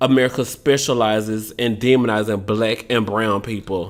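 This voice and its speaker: A man speaks in an animated tone. He has a Southern US accent. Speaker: podcast host. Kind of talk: casual chat.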